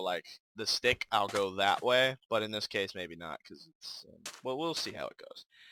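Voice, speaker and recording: A man mumbles at a medium pitch and moderate pace, his tone bright and sharp with lively intonation. The sound is dry and close, without echo. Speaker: gaming youtuber. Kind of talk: gameplay commentary. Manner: mumbling; casual, hesitant with fillers.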